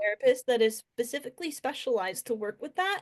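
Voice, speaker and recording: In an ordinary speaking voice, a woman talks at a moderate pace with a fairly high pitch and lively intonation. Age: 20s. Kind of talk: interview answer.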